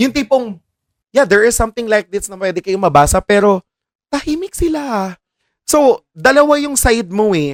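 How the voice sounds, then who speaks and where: High-pitched male speech with very wide pitch swings at a moderate pace, in a dry, close sound with no echo. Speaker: choir podcast host. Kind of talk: casual chat.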